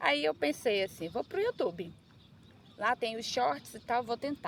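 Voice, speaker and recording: A woman's high-pitched voice swings very widely in pitch while she keeps a moderate pace. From Brazil, Manaus (Amazonas). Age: 30s. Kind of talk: casual personal vlog. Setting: outdoors on a beach.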